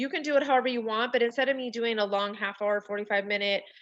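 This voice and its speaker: Against a quiet background, a woman uses a normal speaking voice, fairly high in pitch, with ordinary pitch variation. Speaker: direct sales consultant. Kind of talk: tutorial.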